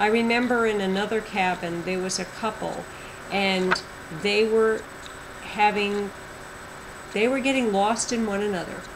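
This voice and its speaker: Within audible room echo and noticeable background noise, a woman speaks with long, frequent pauses. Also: medium pitch for a woman, fairly even intonation, moderate pace. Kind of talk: testimony. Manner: loud.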